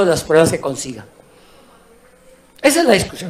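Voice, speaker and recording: Noticeable background noise runs throughout. Through it, a man speaks. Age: 70s. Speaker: government minister. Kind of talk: parliamentary debate speech.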